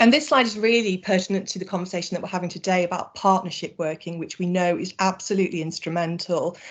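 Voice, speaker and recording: This woman talks at a very fast pace in a medium pitch. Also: ordinary pitch variation, hardly any pauses. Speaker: charity sector presenter. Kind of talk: webinar presentation.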